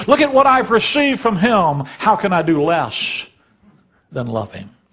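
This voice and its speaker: At a moderate pace, a man with a high voice makes very wide pitch swings and big swings in loudness. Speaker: Bible teacher, preacher. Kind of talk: sermon, preaching to a congregation. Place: church. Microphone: podium.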